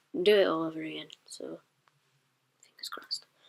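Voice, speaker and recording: The speaker is a woman. She has a strong northern English accent. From northern England, Sheffield, South Yorkshire. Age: 20s. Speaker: book vlogger. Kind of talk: casual vlog monologue. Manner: hesitant, many ums.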